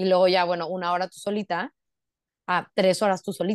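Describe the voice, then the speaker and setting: In a dry, close sound with no echo, a woman with a medium pitch speaks at a moderate pace in an ordinary speaking voice. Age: 20s. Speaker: lawyer and amateur runner. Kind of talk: casual interview chat.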